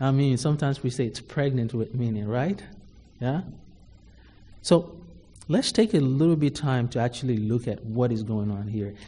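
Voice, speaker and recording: At a moderate pace, a man with a medium pitch and a dark, mellow, somewhat breathy tone speaks with ordinary pitch variation and long, frequent pauses. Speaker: preacher. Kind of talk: sermon. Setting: church. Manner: formal.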